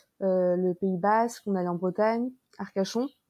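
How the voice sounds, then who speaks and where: A woman speaks in a dark, mellow tone with fairly even intonation. The sound is dry and close, with no echo. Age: 20s. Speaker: digital nomad, marketing worker. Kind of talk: casual chat.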